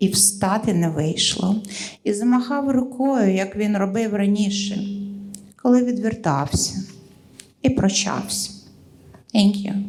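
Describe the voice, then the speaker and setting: A woman's medium-pitched voice in a Russian accent, at a fairly slow pace with long, frequent pauses and ordinary pitch variation, with audible room echo and music in the background. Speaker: poet. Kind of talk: poetry reading.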